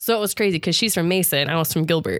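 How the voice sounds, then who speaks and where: With ordinary pitch variation, a woman speaks at a fairly low pitch in a plain, everyday voice. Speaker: returned missionary. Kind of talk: casual chat.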